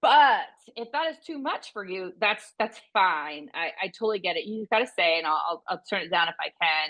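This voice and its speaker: This woman's pitch swings very widely. She speaks with hardly any pauses. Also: medium pitch for a woman, moderate pace. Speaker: veterinary business consultant. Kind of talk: interview conversation. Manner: intense, animated; halting, repeats words.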